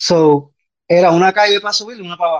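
A high-pitched male voice with a dry, close sound and no echo. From Puerto Rico. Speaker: podcast guest. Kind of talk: casual chat. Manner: halting.

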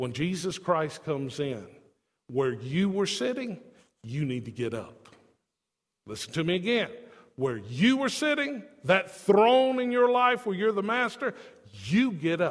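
With audible room echo, a man speaks fairly slowly at a high pitch that swings very widely, leaving long, frequent pauses. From not from Tennessee. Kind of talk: sermon.

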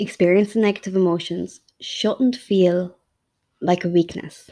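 In a western Irish accent, a woman speaks with a dark, mellow tone at medium pitch and a moderate pace on a very clean recording with a silent background. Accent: Irish (west of Ireland). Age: 30s. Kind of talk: personal monologue. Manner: hesitant, frequent ums.

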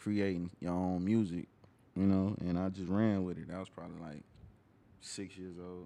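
A man with an American accent speaks at a moderate pace in a very deep, low pitch, with a dark, mellow tone, monotone, flat intonation and big swings in loudness. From Atlanta, US South. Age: 20s. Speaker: rapper. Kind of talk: casual interview.

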